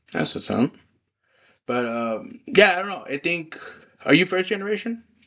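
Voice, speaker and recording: A man with a Spanish accent speaks at a high pitch and a moderate pace. His pitch swings very widely and his loudness rises and falls sharply. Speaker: podcast host. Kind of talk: casual chat.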